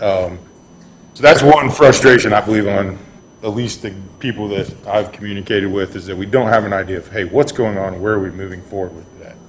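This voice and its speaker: Speaking at a fairly quick pace, a man with a fairly low pitch shows ordinary pitch variation and big swings in loudness. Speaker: public commenter at city meeting. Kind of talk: public comment at board meeting. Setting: city board meeting room with PA microphone. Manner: soft-spoken.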